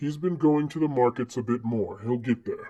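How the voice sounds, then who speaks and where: A man puts on a character voice at a medium pitch. He talks at a moderate pace. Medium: read story. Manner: firm, measured.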